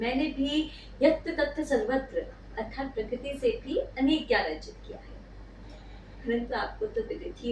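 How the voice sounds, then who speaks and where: This is a woman speaking. She has a Bengali accent. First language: Bengali (speaking Hindi). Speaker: YouTuber. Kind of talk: scripted monologue. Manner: formal.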